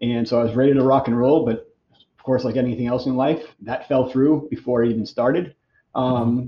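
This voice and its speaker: A man with an American accent talks in a normal speaking voice at medium pitch. His pace is fairly quick and his intonation fairly even. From Boston, US. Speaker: massage therapist and clinic owner. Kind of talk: casual interview.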